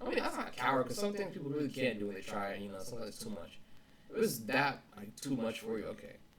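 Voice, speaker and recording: Very wide pitch swings mark this man's medium-pitched voice at a very fast pace. Noticeable background noise is present. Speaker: vlogger. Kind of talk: casual motivational vlog talk. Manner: halting, repeats words. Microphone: poor audio quality.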